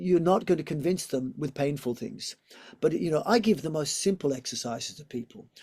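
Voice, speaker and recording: On a very clean recording with a silent background, a man speaks with an Australian accent at a fairly high pitch. His voice is somewhat breathy and dark, mellow in tone, with lively intonation. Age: 60s. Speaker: yoga teacher and physiotherapist. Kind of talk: interview.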